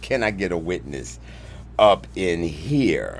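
A man with a very deep, low pitch at a very slow pace, with music in the background. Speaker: preacher hosting a live stream. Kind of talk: sermon-style live stream talk. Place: studio. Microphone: studio mic.

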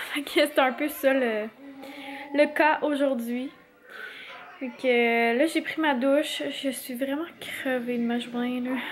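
A woman with a Quebec accent speaks very slowly in a high voice, her intonation fairly even. She leaves long, frequent pauses over light background noise. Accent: Québécois French. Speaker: family vlogger. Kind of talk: casual vlog talk to camera. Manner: chatty, hesitant with fillers. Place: home room. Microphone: phone near.

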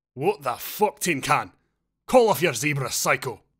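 In a put-on character voice, a man growls at a fairly high pitch and a moderate pace on a very clean recording with a silent background. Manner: growling, aggressive.

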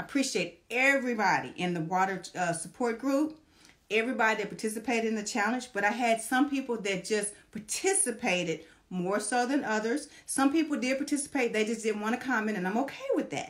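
Against a quiet background, a woman talks at a fairly quick pace with lively intonation. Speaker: social media vlogger. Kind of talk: casual vlog chat. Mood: warm and grateful. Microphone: phone near.

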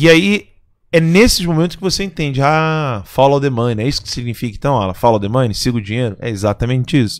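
Against a quiet background, a man speaks very fast in an animated tone with lively intonation. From Brazil. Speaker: commentator. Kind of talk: casual chat. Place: studio. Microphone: studio mic.

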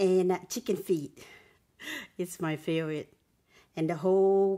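Dark, mellow tone with fairly even intonation. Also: woman. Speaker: mukbang / ASMR eating channel host. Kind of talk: casual talk to camera. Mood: cheerful, smiling.

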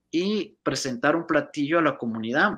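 Man's bright, sharp voice at a fairly slow pace against a quiet background. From northern Mexico, Reynosa, Tamaulipas; Tamaulipas, Mexico. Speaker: Spanish professor; college Spanish professor, guest. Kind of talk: interview. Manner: hesitant, many fillers. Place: home room. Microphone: video call.

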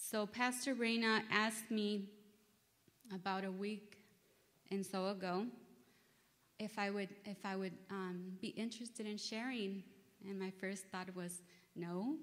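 Long, frequent pauses break up a woman's fairly slow speech. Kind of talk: sermon. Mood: nervous, earnest. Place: church. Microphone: podium.

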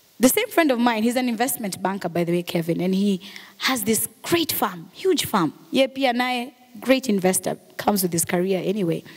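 A woman with a Kenyan accent, animated in tone, at a moderate pace. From Kenya, Mombasa. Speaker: radio and TV presenter; radio, TV presenter. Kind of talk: motivational talk. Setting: stage with audience. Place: hall. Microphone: handheld.

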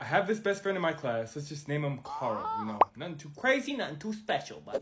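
The man speaks fairly quickly. Behind him, background noise is noticeable. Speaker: storyteller. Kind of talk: casual storytelling to camera.

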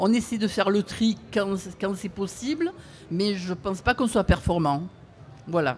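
Light background noise is present. A woman at medium pitch speaks at a fairly slow pace. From Marseille, southern France. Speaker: audience member. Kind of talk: audience question. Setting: outdoor event with audience. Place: street.

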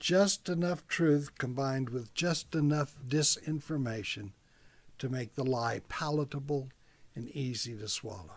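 This man talks at a fairly slow pace in a somewhat breathy voice pitched fairly high for a man. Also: ordinary pitch variation. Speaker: preacher, church message speaker. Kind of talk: sermon delivered to camera. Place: office. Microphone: webcam.

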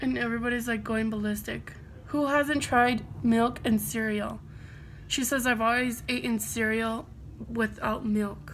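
The speaker has an American accent and a fairly slow pace. The room echo is audible. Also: woman. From United States. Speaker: beauty vlogger. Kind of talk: casual chat.

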